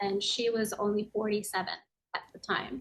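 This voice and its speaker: A woman with an American accent speaks in a fairly high voice. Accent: sounds American. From Tokyo, Japan, international school. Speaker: yoga and meditation teacher, author. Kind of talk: podcast interview.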